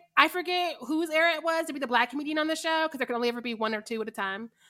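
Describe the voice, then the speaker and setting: A woman with an American accent speaks in a raised, projected voice with a bright, sharp, animated tone and lively intonation. The recording is very clean, with a silent background. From Missouri. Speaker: podcast co-host. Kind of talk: casual chat. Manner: animated, laughing often.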